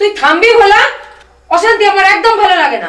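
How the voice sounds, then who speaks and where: Her voice, put on as a character, reaches an extremely high pitch. The woman talks at a fairly quick pace with ordinary pitch variation. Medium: short film. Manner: warm, patient.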